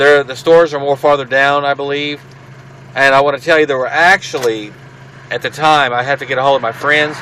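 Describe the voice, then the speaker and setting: Noticeable background noise runs under a man who talks at a very fast pace, his pitch fairly high. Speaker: paranormal video blogger. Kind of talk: casual vlog, partly reading aloud. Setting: in a car. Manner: halting.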